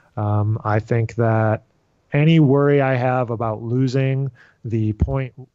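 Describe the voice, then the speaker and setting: Speaking at a very slow pace, a man uses a dark, mellow tone and fairly even intonation, in a dry sound with no echo against a quiet background. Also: medium pitch for a man. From upstate New York (Rochester); New York. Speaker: jazz trombonist and music professor; music professor. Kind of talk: interview conversation. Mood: relaxed, reflective. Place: home room.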